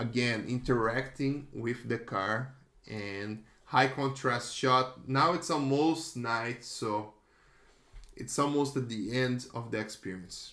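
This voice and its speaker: Audible room echo surrounds a man's bright, sharp tone at medium pitch. He talks at a very slow pace with ordinary pitch variation. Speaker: digital artist and retoucher. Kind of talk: casual commentary on artworks. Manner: halting, self-correcting.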